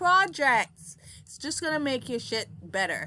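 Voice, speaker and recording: Bright, sharp tone from a woman with a Montserratian accent, very wide pitch swings and a fairly slow pace, against a quiet background. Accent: Caribbean (Montserratian) English. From Caribbean, Montserrat. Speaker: product reviewer. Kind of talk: casual product review. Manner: halting, many fillers.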